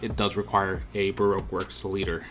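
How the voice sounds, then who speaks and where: A man's fairly low voice moves at a fairly brisk speed while music plays behind him. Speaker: card game YouTuber. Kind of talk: casual video commentary. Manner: fast; animated.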